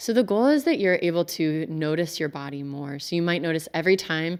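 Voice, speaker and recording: On a very clean recording with a silent background, a woman speaks. Her pace is fairly quick and her pitch variation ordinary. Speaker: somatic-informed coach. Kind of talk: interview, guided body scan. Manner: calm, measured.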